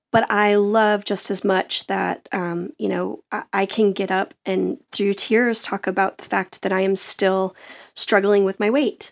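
A woman with an ordinary speaking voice, a medium pitch, fairly even intonation and a fairly slow pace, on a very clean recording with a silent background. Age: 40s. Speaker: singer and speaker. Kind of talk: casual chat. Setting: studio.

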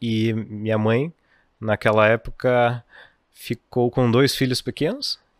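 Recorded very cleanly against a silent background, a man with a medium pitch speaks very slowly, his intonation fairly even, his loudness very even, and the sound dry and close with no echo. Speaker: financial educator. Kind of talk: casual chat. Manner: well-spoken.

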